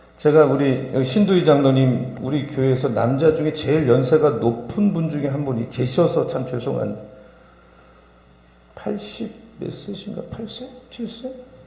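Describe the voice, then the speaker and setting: With lively intonation and big swings in loudness, a man with a fairly high-pitched voice speaks at a fairly slow pace amid noticeable background noise and audible room echo. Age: 60s. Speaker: pastor. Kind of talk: sermon. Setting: church. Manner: animated.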